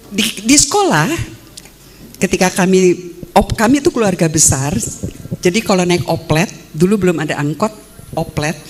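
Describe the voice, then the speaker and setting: Over noticeable background noise, a woman with a medium pitch speaks at a moderate pace with lively intonation and long, frequent pauses. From Indonesia, West Java (Sukabumi), Dutch-Indonesian family. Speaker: philosophy professor. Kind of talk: academic talk. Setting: stage with audience.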